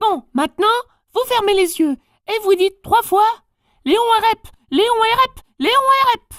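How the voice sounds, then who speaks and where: A put-on character voice at an extremely high pitch, moderate in pace, with long, frequent pauses. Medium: read story. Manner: overly courteous, formal.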